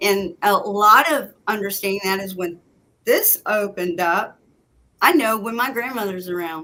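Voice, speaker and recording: This woman speaks at a moderate pace in a medium pitch, her tone bright and sharp, with ordinary pitch variation. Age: 60s. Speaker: psychic medium, former deputy sheriff. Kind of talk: casual chat.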